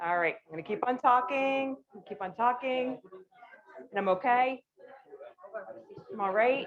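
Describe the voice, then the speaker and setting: A woman talks loud at a fairly slow pace. Her intonation is lively. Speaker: conference speaker. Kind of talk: casual chat.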